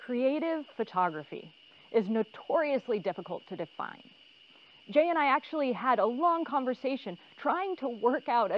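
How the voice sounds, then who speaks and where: A woman speaks in a high voice. Her pace is moderate. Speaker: instructor. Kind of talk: tutorial. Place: forest. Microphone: lapel.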